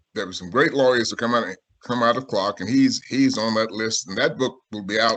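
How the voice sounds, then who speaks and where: Speaking at a moderate pace, a man of medium pitch talks in a South Carolina accent. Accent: Southern US (South Carolina). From US South, Sumter, South Carolina. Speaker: author and civil rights historian. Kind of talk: video-call talk and Q&A.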